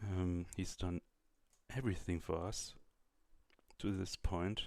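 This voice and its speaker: A man with a German accent talks at a fairly slow pace. His pitch is very deep and low, and his intonation fairly even. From Germany. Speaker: YouTuber. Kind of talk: casual chat. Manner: halting.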